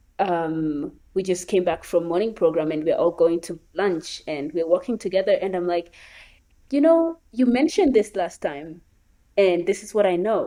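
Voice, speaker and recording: Speaking in a Kenyan accent with a dark, mellow tone, a woman talks at a moderate pace with ordinary pitch variation on a very clean recording with a silent background. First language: Luo. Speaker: gap year program participant. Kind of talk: interview conversation.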